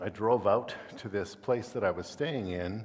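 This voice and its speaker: A man talks in a normal speaking voice at a fairly low pitch. His pitch variation is ordinary. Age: 60s. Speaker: guest preacher. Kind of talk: sermon. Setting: church.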